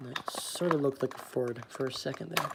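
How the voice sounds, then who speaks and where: Speaking with an American accent at a moderate pace, the voice competes with noticeable background noise. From Texas. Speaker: toy car collector streamer. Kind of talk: livestream unboxing commentary. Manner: casual, hesitant with fillers.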